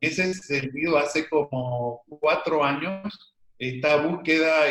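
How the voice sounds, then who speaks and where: A man talks at a very slow pace. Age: 60s. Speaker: medical doctor and alternative therapist. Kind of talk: interview.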